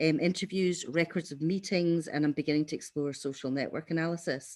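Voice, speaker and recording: A woman's very deep, low voice on a very clean recording with a silent background. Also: fairly quick pace. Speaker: evaluation researcher. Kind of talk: conference workshop presentation. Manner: fast.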